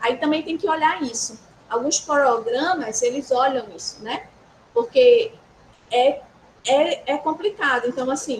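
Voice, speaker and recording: At a fairly slow pace, a woman with a high voice and a strong northeastern Brazilian accent speaks over noticeable background noise. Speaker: university instructor. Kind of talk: workshop lecture. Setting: hybrid session with live audience. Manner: conversational.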